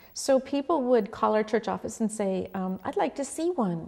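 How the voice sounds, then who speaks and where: A woman with a dark, mellow tone speaks at a fairly quick pace, with ordinary pitch variation. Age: 60s. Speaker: pastor. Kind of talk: oral history interview.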